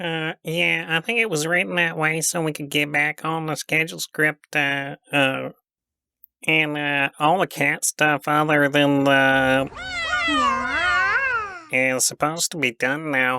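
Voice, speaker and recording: A put-on character voice, low-to-middle in pitch, at a fairly slow pace with long, frequent pauses. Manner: hesitant, stammering.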